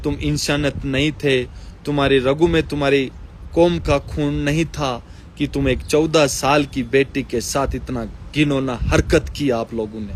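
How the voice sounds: A man talks at a fairly slow pace with a medium pitch and fairly even intonation.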